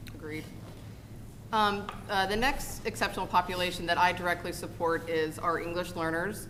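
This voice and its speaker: Recorded with audible room echo and noticeable background noise, a woman speaks at a fairly low pitch with ordinary pitch variation. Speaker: school district special programs administrator. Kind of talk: board meeting presentation. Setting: school board meeting. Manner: fast.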